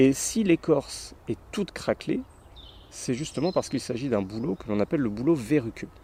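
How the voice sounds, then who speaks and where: With lively intonation and a dark, mellow tone, a man talks at medium pitch and a moderate pace. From Brittany (Finistère), France. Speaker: podcast host. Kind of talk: casual chat.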